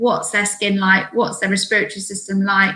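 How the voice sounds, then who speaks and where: This woman talks at a medium pitch with a British accent. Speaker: allergy specialist speaker. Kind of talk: webinar presentation. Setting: online webinar. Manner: fast.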